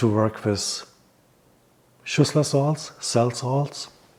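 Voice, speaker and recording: The man's intonation stays fairly even. He talks with a non-native accent. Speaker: hypnotherapist and naturopath. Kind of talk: health advice talk. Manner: halting.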